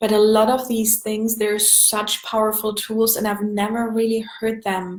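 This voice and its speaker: A woman speaks at a moderate pace with a German accent. Her pitch is fairly high and her intonation is flat and monotone. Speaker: energy healing coach. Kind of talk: live stream sales pitch. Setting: Facebook live video.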